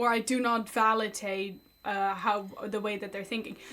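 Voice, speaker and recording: A loud woman at a fairly slow pace, with music in the background. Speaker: streamer reacting to online stories. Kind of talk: casual chat.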